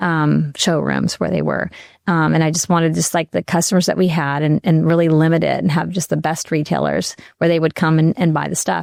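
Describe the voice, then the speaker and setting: A woman speaks at a fairly quick pace with very even loudness. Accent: American. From US Midwest, Kansas City. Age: 60s. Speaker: company founder. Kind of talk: interview. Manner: halting, many fillers.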